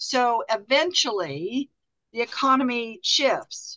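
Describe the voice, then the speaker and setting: In a dry, close recording with no echo, a woman speaks at a fairly high pitch in a bright, sharp tone. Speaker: workshop facilitator. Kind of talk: interactive group workshop. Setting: video call.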